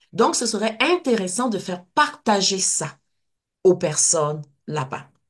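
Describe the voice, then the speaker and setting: A woman's somewhat breathy voice at medium pitch, very slow, with very wide pitch swings. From Côte d'Ivoire. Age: 60s. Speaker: kinesiologist and personal-development teacher. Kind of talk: interview. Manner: animated.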